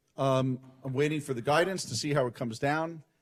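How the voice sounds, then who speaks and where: A man with a New York accent speaks at a very fast pace. His pitch sits fairly high and varies an ordinary amount. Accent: New York City. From New York City, Brooklyn. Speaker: transportation lawyer and lecturer. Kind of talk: conference talk. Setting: conference stage, live streamed.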